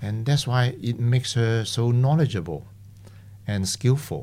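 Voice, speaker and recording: At a moderate pace, a man speaks in a fairly low voice with a Cantonese accent. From Hong Kong. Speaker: retiring psychologist. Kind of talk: casual interview.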